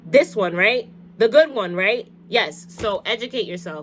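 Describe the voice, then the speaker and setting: A woman's voice with very wide pitch swings, set over background music. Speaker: lifestyle vlogger giving advice. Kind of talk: casual advice monologue. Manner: fast; halting.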